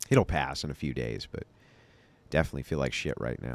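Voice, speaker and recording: A man's very deep, low voice with vocal fry, a fairly quick pace and fairly even intonation. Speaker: debate show host. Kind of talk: reading super chats on livestream. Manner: casual.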